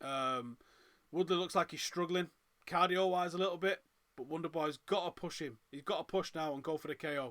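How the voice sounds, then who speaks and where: A man with a northern English accent at a very fast pace, ordinary pitch variation, on a very clean recording with a silent background. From northern England, Manchester. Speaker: MMA watch-along host. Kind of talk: live fight reaction commentary.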